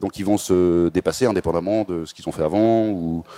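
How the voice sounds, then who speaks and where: The voice has a dark, mellow tone with ordinary pitch variation. The sound is dry and close, with no echo. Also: man. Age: 30s. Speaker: startup founder and CEO. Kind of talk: interview.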